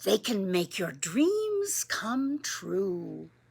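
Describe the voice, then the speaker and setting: A woman whispers in a put-on character voice. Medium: read story. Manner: hushed, whispering.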